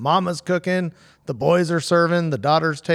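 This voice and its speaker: A man's unremarkable speaking voice, fairly high in pitch, in an American accent with fairly even intonation, on a very clean recording with a silent background. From San Diego, California. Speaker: hot rod fabrication shop owner. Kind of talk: casual chat.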